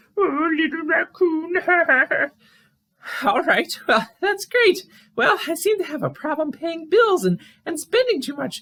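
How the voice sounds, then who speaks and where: A man's put-on character voice at an extremely high pitch, fairly slow, with long, frequent pauses. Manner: fretful, stammering.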